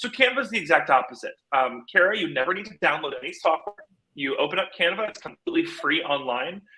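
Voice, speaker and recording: A man with a bright, sharp tone talks at a fairly quick pace with lively intonation. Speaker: social media marketing trainer. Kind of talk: live tutorial. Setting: live video stream. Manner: fast; energetic, upbeat.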